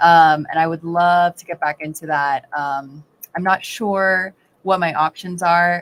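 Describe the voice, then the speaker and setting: A woman in an American accent with an unremarkable speaking voice, fairly low pitch, fairly even intonation and moderate pace, in a dry, close sound with no echo on a very clean recording with a silent background. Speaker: hairstylist and actress. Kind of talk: casual chat.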